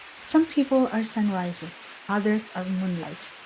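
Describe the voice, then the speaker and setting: A woman with a medium pitch and lively intonation talks over noticeable background noise. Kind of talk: whispered ASMR emotional-support talk. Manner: whispered, soft-spoken, gentle, calming.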